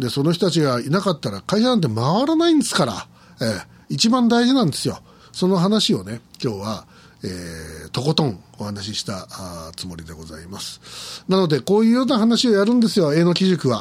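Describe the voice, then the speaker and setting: Very wide pitch swings in a fairly high-pitched male voice. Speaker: podcast host. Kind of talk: solo monologue. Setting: studio. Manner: halting.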